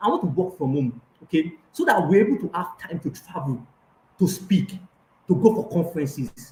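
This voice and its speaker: At a moderate pace, a man with a Nigerian accent speaks high-pitched with lively intonation. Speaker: life coach. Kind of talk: online coaching session. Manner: hesitant, many fillers.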